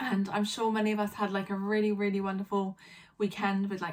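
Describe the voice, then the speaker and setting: With a British accent, a woman speaks at medium pitch over noticeable background noise. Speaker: vlogger. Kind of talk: casual vlog monologue. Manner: hesitant, many fillers.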